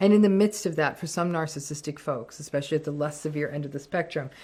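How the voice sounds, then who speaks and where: A woman speaks very fast in a very deep, low voice with a dark, mellow tone and fairly even intonation, on a very clean recording with a silent background. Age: 60s. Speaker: clinical psychologist. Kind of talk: monologue rant.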